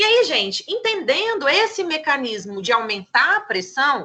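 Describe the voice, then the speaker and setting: A woman with a high pitch uses a raised, projected voice and a bright, sharp tone, her pitch swinging very widely at a fairly slow pace. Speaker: pharmacy teacher. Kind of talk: lecture.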